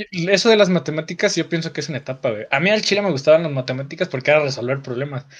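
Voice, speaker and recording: Speaking at a very fast pace with hardly any pauses, a man uses a fairly high pitch and ordinary pitch variation. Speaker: streamer and law student. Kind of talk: casual chat. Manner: relaxed, slangy.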